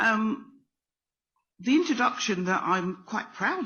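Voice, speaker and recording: A woman with a British accent at a moderate pace. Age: 60s. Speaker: speaker. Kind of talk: talk. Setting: stage with audience. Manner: hesitant.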